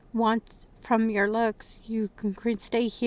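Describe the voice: The clip consists of plain reading aloud.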